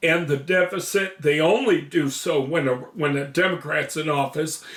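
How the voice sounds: A man speaks at a fairly slow pace. His tone is fairly bright, with ordinary pitch variation.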